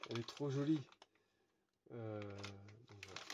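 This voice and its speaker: A man speaks with ordinary pitch variation. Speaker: RC hobby YouTuber. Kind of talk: unboxing video. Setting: at home at night. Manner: hesitant, many fillers.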